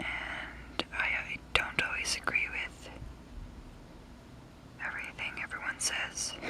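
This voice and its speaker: The speaker whispers at a very slow pace with long, frequent pauses. Noticeable background noise is present. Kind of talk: ASMR whisper video, casual talk to camera. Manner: whispered, soft-spoken.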